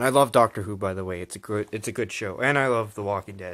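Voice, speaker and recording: In a very clean recording with a silent background, the speech has lively intonation. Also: man. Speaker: YouTuber. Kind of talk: casual haul video talk. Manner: animated.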